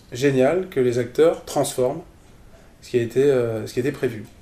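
At a moderate pace, a man speaks at a medium pitch with ordinary pitch variation and a somewhat breathy, dark, mellow tone. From France, Strasbourg (Alsace). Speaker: improv theatre teacher and performer. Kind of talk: casual interview. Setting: at the guest's home. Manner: halting, many repetitions.

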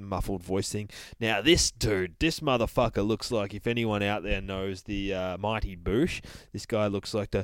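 Fairly even intonation comes through an unforced reading voice.

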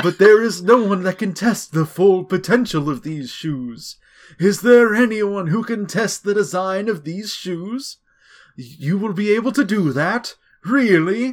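On a very clean recording with a silent background, a man uses a put-on character voice at a high pitch. He moves at a fairly slow pace with lively intonation. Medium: solo performance. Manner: earnest, grateful.

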